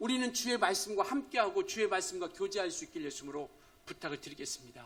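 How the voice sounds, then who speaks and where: This man talks at a very fast pace with an extremely high pitch. His bright, sharp tone moves through very wide pitch swings. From rural Korea. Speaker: pastor. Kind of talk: sermon. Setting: church.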